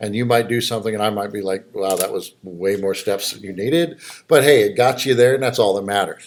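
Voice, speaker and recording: Using a normal speaking voice, a man talks at a fairly quick pace in a fairly low pitch with ordinary pitch variation. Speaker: college instructor. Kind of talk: lecture. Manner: casual, conversational.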